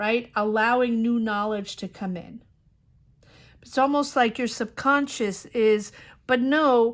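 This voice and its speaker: A woman talks at a very slow pace and a fairly high pitch. Her loudness swings widely. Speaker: tarot reader. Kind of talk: tarot reading monologue. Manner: casual, with fillers.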